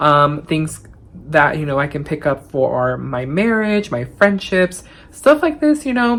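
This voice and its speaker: A woman is speaking. Her voice is very deep and low in pitch. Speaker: thrift YouTuber. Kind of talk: casual vlog reflection.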